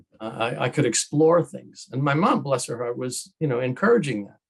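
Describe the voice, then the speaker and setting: A man speaks at a moderate pace and medium pitch, somewhat breathy. His loudness swings widely while his pitch varies in an ordinary way. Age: 70s. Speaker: author and filmmaker. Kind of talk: interview.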